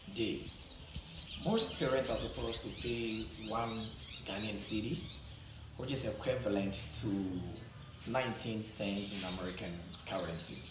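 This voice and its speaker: A man talks at a fairly slow pace. The recording carries audible room echo and noticeable background noise. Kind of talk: interview answer. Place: classroom. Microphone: camera far.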